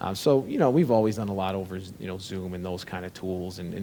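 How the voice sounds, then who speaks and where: Speaking at a fairly quick pace, a man with a slight Chicago accent has a very deep, low voice. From Chicago, US Midwest. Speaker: tech company founder and CEO. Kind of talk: interview conversation.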